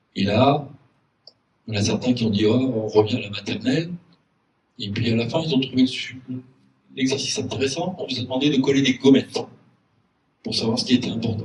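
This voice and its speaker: A somewhat breathy man's voice at medium pitch, with ordinary pitch variation, big swings in loudness, long, frequent pauses and audible room echo. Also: fairly quick pace. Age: 60s. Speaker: local election candidate. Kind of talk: public meeting speech. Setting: community hall with audience. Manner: hesitant, frequent fillers.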